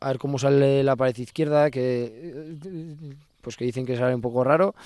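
Fairly even intonation runs through the man's medium-pitched voice. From Navarre, Spain. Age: 20s. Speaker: professional pelota player. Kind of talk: interview. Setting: on location in his home village. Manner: halting, many fillers.

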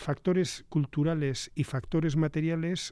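Here a man talks at a fairly high pitch and a fairly slow pace. The recording is very clean, with a silent background. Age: 60s. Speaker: government official. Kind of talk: radio interview. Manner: halting, many fillers.

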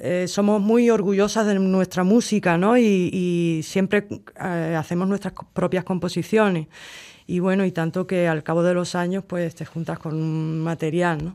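With a dark, mellow tone and a fairly low pitch, a woman speaks at a fairly slow pace with fairly even intonation on a very clean recording with a silent background. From Cádiz, Andalusia, Spain. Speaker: flamenco guitarist. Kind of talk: interview.

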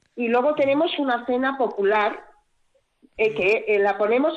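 This woman's voice is high-pitched, with lively intonation. She talks at a fairly slow pace. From Basque Country, Gipuzkoa (Tolosa). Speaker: village council president. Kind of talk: radio interview.

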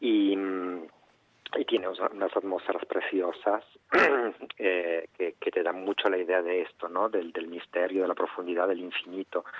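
A man speaks in a very deep, low voice at a fairly slow pace, with flat, monotone intonation and long, frequent pauses. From Argentina, Mendoza. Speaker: dancer and choreographer. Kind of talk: interview. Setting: phone call.

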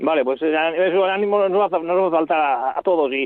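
A man talks with ordinary pitch variation. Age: 60s. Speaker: farm cooperative president and livestock transporter. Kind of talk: interview. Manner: halting.

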